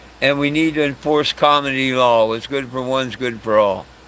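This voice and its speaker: The man's voice has a bright, sharp tone. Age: 60s. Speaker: cannabis legalization activist livestreamer. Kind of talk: livestream talk to chat. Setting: camping. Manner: animated.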